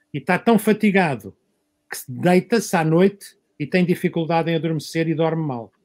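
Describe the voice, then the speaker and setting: Here a man talks at a moderate pace with a high pitch. His pitch varies in an ordinary way. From Portugal, Lisbon area. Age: 60s. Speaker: sports medicine doctor. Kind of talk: panel discussion.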